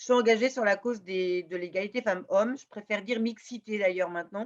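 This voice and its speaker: A woman with a medium pitch talks at a very fast pace, her loudness swinging widely. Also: ordinary pitch variation. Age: 60s. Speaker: law professor and gender equality advocate. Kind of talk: interview. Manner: hesitant, many fillers.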